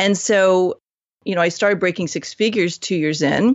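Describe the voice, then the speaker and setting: A woman with a plain, everyday voice speaks at a medium pitch and a fairly quick pace. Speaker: business coach. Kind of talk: podcast interview.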